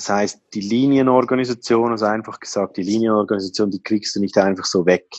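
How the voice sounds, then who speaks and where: Speaking with a Swiss accent, a man talks at a fairly quick pace and fairly low pitch, with fairly even intonation and hardly any pauses. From Switzerland. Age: 30s. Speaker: IT helpdesk worker. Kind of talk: interview. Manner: hesitant, many fillers.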